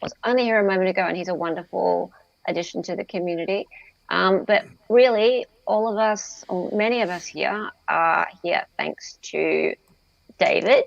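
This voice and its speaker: A woman in an Australian accent keeps her speech at a moderate pace. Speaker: streamer and commentator. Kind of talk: casual chat.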